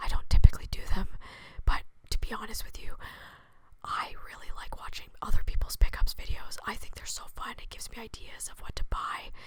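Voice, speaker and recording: A woman whispers at a fairly quick pace. Her loudness swings widely. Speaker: video game content creator. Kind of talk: ASMR whispering. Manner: whispering.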